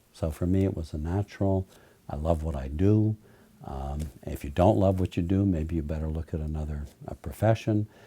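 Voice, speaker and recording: A man's very deep, low voice, dark and mellow, somewhat breathy, with ordinary pitch variation and a fairly quick pace. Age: 60s. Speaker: trial lawyer. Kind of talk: interview monologue.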